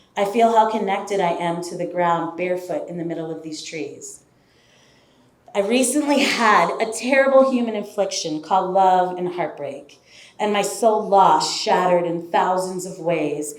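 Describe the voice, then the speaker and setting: A woman speaks at medium pitch with big swings in loudness. There is audible room echo. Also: ordinary pitch variation, moderate pace. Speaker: storyteller. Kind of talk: spoken word storytelling. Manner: lyrical.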